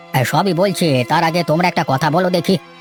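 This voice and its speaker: A man speaks fairly quickly in a cartoonish character voice pitched high. Clear music plays in the background. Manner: grave, deliberate.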